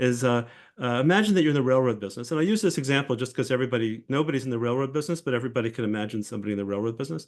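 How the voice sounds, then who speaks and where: Medium-pitched man at a very fast pace with lively intonation, against a quiet background. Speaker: professor. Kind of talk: lecture. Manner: halting.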